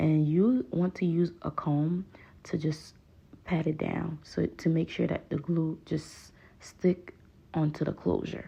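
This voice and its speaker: A woman speaks very slowly in a very deep, low pitch with a dark, mellow tone. Her voice is somewhat breathy and her intonation fairly even. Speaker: hair stylist. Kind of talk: tutorial voiceover. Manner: casual, chatty.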